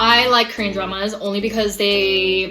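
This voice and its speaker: A woman speaks with fairly high pitch. Noticeable background noise is present. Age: 20s. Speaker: lifestyle YouTuber. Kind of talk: casual chat.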